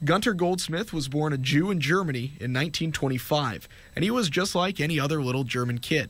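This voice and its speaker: With a plain, everyday voice, a man talks at a fairly quick pace with hardly any pauses, lively intonation and a fairly high pitch. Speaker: TV news reporter. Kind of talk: TV news report narration.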